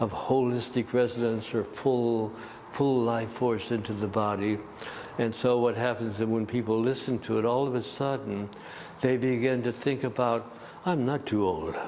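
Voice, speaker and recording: Medium-pitched male speech at a moderate pace, with fairly even intonation, very even loudness and noticeable background noise. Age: 80s+. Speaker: gong master, musician and yoga teacher. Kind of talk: interview answer.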